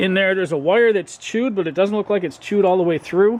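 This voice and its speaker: Noticeable background noise runs under this clip. A man talks fast-ish, fairly quick in pace, with a high pitch. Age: 50s. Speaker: car mechanic vlogger. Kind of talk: casual narration while working. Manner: halting, many fillers.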